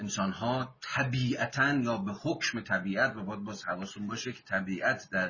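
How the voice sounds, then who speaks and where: Here is a man with a plain, everyday voice. His pitch is fairly low and his pace moderate. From Iran, Mazandaran. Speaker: book discussion leader. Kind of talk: lecture.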